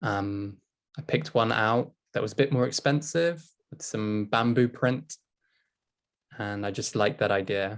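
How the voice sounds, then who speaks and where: At a fairly slow pace, a man with a British accent talks with long, frequent pauses. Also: medium pitch for a man, ordinary pitch variation. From England. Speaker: English teacher. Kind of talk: casual discussion.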